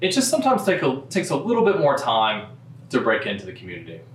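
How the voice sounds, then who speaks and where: Someone with a Kentucky accent talks at a fairly quick pace with very wide pitch swings, and the room echo is audible. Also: man. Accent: local Louisville pronunciation. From Louisville, Kentucky. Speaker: real estate broker. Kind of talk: informational talk to camera.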